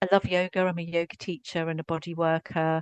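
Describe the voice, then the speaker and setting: A woman with a strong English accent speaks at a moderate pace, her fairly low voice flat and monotone. The sound is dry and close with no echo over a quiet background. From Scotland. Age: 60s. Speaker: psychotherapist. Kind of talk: podcast interview.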